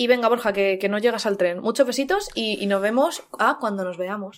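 Her fairly high voice sounds animated as the woman talks at a moderate pace with ordinary pitch variation. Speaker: podcast co-host. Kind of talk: casual chat.

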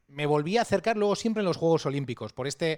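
Very fast talk from a man, fairly high in pitch and with ordinary pitch variation. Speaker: podcast host. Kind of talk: casual interview. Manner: halting, many repetitions.

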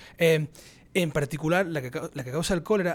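A normal speaking voice from a man at a moderate pace, with ordinary pitch variation, in a very clean recording with a silent background. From Spain, Andalusia (Cádiz). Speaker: microbiologist professor. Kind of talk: casual interview.

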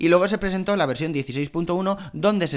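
At a fast pace, a man speaks with ordinary pitch variation.

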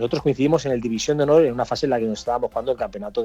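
Very fast male speech in a dark, mellow tone. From Catalonia, Spain (Cerdanyola del Vallès). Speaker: retired footballer. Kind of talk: interview. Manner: halting, many repetitions.

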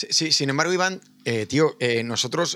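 At a moderate pace, a man speaks with a medium pitch, lively intonation and a bright, sharp tone. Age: 50s. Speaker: podcast host. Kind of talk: casual chat.

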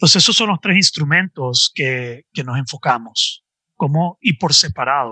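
A man speaks fairly slowly with lively intonation and a fairly high pitch. His tone is bright and sharp, and the sound is dry and close with no echo. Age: 40s. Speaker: life coach. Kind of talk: podcast interview.

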